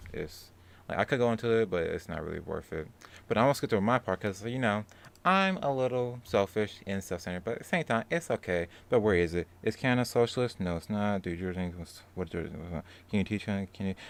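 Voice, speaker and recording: A man with a fairly low voice talks at a fairly quick pace with ordinary pitch variation, on a very clean recording with a silent background. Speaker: livestream host. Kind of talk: casual livestream commentary. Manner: fast; informal, filler-heavy.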